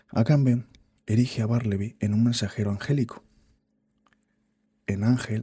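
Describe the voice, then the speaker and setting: A man with a dark, mellow tone speaks at a fairly low pitch and a moderate pace. His delivery is somewhat breathy with fairly even intonation. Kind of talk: reading a book aloud, practicing speech.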